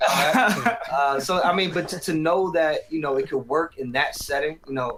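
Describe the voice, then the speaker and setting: A man speaks at a moderate pace and a fairly high pitch, with an American accent. There is noticeable background noise. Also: ordinary pitch variation. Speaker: rapper. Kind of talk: interview. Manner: halting.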